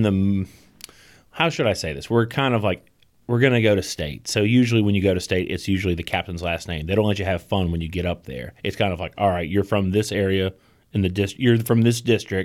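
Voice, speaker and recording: A man with an American accent in a normal speaking voice, at a fairly low pitch and fairly quick pace, on a very clean recording with a silent background. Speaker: podcast co-host. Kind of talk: casual podcast chat.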